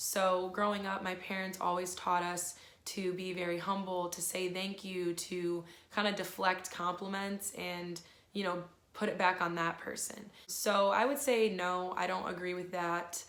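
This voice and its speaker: A woman speaks fairly slowly in a monotone, flat intonation, with audible room echo and noticeable background noise. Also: medium pitch for a woman. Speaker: youtuber. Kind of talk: casual chat. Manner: chatty.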